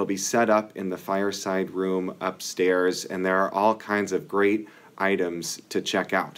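A man talks slowly-ish, at a fairly slow pace, in a fairly low voice with monotone, flat intonation. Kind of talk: announcements.

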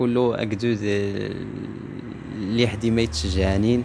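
Over light background noise, a man talks in a monotone, flat intonation at a fairly low pitch. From southern Morocco, Guelmim region; southern Morocco. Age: 20s. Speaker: Amazigh singer and actor; actor. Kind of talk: interview testimony. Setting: event in Agadir. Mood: friendly, grateful. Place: home room. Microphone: handheld.

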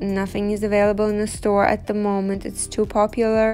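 Faint music plays in the background as a woman speaks with monotone, flat intonation. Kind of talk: casual vlog chat. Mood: thoughtful, calm. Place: home room.

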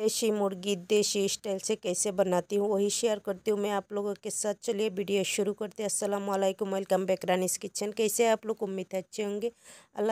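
A woman's dark, mellow tone, dry and close with no echo, on a very clean recording with a silent background. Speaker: cooking channel host. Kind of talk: cooking tutorial.

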